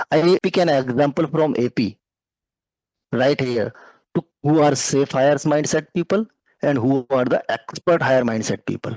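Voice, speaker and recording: A man speaks at very even loudness, leaving long, frequent pauses, his pitch fairly high with ordinary variation. The sound is dry and close with no echo. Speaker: career mentor teaching a finance session. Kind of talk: lecture. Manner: slow, deliberate explanation.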